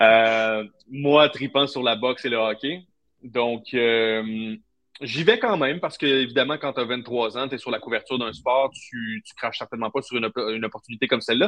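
A man with medium pitch and ordinary pitch variation speaks with big swings in loudness. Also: moderate pace. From Quebec, Trois-Rivières. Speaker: football agency co-founder, former sports journalist. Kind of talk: interview. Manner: hesitant, many fillers and repetitions.

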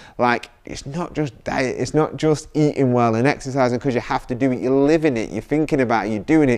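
The speech runs at a fairly quick pace with fairly even intonation and hardly any pauses. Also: man, medium pitch for a man. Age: 30s. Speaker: fitness coach and podcast host. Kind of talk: solo motivational talk. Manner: halting, many fillers.

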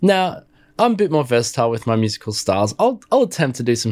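A man speaks very fast with an Australian accent. His pitch is medium, and the recording is very clean with a silent background. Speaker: music tech podcaster and YouTuber. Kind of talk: product review and demo. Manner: animated.

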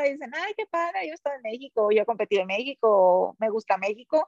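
A woman's fairly quick speech with very wide pitch swings, in a dry, close sound with no echo. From Mexico, Sinaloa. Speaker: elite triathlete. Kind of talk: casual interview.

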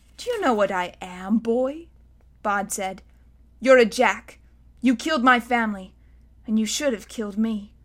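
A plain read-aloud

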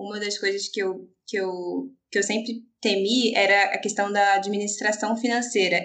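This woman speaks at a moderate pace. Her medium pitch holds to fairly even intonation. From Rio de Janeiro, Brazil. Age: 20s. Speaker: pastor's wife. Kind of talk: casual chat. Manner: halting.

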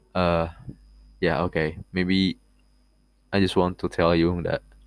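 A man's very deep, low voice with a non-native accent, fairly even in intonation, in a dry, close sound with no echo. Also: long, frequent pauses, very even loudness. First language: not English. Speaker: podcast host. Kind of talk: casual monologue. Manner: halting, many fillers.

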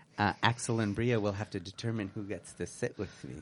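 A man with a plain, everyday voice talks at a moderate pace, his pitch fairly low and its variation ordinary. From Canada. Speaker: community radio co-host. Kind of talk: casual chat. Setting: radio studio.

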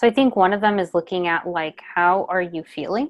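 A woman's normal speaking voice at a medium pitch, with a moderate pace and ordinary pitch variation. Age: 30s. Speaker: public health program manager. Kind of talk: casual chat.

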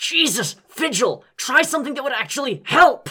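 A gruff, high-pitched, put-on character voice at a moderate pace. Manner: grunting, gruff.

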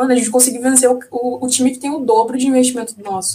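Her pitch high, a woman talks at a fairly quick pace. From Curitiba, southern Brazil. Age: 20s. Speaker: sports agency press officer and football fan. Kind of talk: casual chat.

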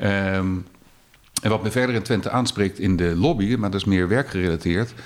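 A man's voice, fairly low in pitch, with ordinary pitch variation. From Netherlands, The Hague. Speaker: lobbyist, former radio journalist. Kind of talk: casual interview.

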